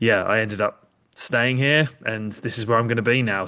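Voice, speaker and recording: Someone speaks at a moderate pace with an English accent and a bright, sharp tone. The background is quiet. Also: man. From England, Kent and London. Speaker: podcaster and soccer fan. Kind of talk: casual chat.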